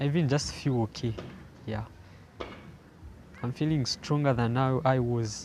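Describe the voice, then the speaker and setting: Somewhat breathy, a man's medium-pitched voice moves at a moderate pace with fairly even intonation. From Zambia. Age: young. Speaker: young person living with HIV. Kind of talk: personal testimony. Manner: halting, frequent repetitions.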